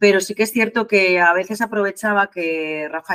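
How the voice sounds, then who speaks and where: A fairly slow pace from a woman with a bright, sharp tone. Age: 50s. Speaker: nurse and marathon runner. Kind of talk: interview. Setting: remote call.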